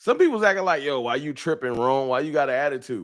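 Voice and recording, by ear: A man speaks with lively intonation and a fairly bright tone. The recording is very clean, with a silent background.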